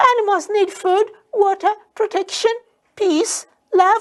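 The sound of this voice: A put-on character voice squeaks out at an extremely high pitch. Its delivery is fairly slow.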